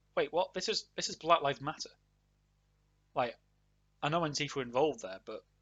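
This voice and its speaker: A man's high-pitched voice with lively intonation. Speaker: political commentary YouTuber. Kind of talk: casual commentary to camera.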